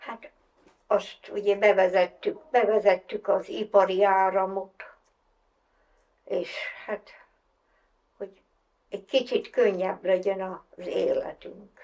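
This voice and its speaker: A woman speaks at a very slow pace with big swings in loudness and long, frequent pauses. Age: 80s+. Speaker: farmer. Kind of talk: documentary interview monologue.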